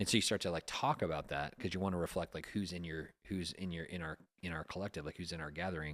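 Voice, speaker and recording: Over a silent background in a very clean recording, a man talks at a very fast pace with a very deep, low pitch. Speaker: podcast host. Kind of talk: casual chat.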